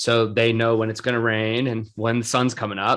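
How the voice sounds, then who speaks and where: Speaking at a moderate pace, a man with a medium pitch talks in a Rhode Island accent. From Rhode Island, US. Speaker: podcast host. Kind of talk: casual chat. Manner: animated.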